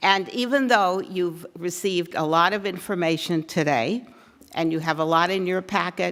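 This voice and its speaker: A woman's fairly low voice moves at a moderate pace. Her pitch varies in an ordinary way. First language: not English. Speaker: advocacy group organizer. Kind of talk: forum speech to audience. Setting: room with live audience.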